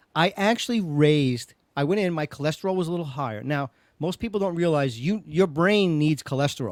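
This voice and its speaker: In a New York accent, the speaker uses an animated tone and lively intonation at a fairly quick pace. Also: man, fairly high pitch for a man. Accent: New York Brooklyn. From Brooklyn, New York. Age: 60s. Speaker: podcast host. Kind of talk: casual chat.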